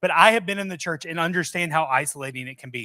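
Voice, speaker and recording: On a very clean recording with a silent background, a man's voice comes across bright and sharp. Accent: slight Southern US. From US South, Mobile, Alabama. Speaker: software company presenter. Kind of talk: presentation to live audience. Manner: casual, conversational.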